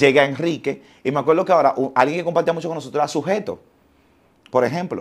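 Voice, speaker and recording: A man speaks at a very fast pace. His fairly high voice shows ordinary pitch variation. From Dominican Republic, Los Alcarrizos; Dominican Republic. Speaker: entertainer and TV presenter; TV presenter. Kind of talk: casual interview. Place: studio. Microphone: lapel.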